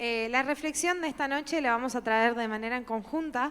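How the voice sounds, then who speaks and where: A woman speaks at a moderate pace with ordinary pitch variation. She has a normal speaking voice. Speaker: youth leader. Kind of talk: church talk, conversational reflection.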